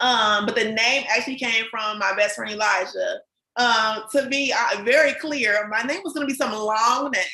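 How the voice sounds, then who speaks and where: With an American accent, a woman talks at a fairly high pitch that shows ordinary variation. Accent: country-sounding. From Cincinnati, Ohio. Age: 20s. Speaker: small business owner. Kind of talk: podcast interview. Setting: live video podcast.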